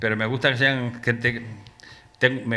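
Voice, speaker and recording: In a flat, monotone delivery, a man talks at a medium pitch. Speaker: poet presenting his book. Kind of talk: book presentation talk. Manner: fast; poorly articulated.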